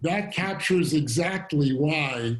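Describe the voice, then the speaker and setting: The man's voice comes across as somewhat breathy. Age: 60s. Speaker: fintech company founder and CEO. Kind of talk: fireside chat interview.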